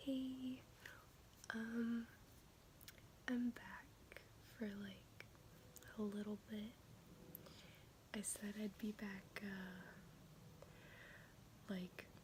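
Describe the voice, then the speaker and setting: A soft-spoken woman at a fairly high pitch, very slow pace and fairly even intonation, with long, frequent pauses and noticeable background noise. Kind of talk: casual ASMR check-in talk.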